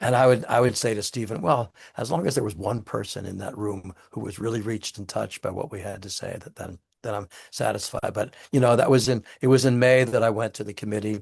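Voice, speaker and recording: A somewhat breathy voice talks at a fairly quick pace with ordinary pitch variation and big swings in loudness. The background is quiet. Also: man, medium pitch for a man. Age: 80s+. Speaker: author and theater director. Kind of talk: interview. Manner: halting, many repetitions.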